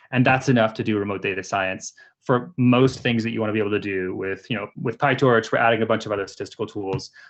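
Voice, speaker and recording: A medium-pitched man at a very fast pace, with fairly even intonation. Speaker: AI researcher, seminar speaker. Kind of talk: technical talk with live demo.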